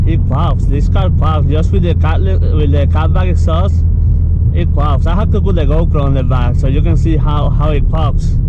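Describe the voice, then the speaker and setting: There is noticeable background noise as a man with a very deep, low pitch talks at a moderate pace, his intonation fairly even and his loudness very even. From Puerto Rico. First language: Spanish. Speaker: car vlogger. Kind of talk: casual commentary while driving. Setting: in a car. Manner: halting, repeats words.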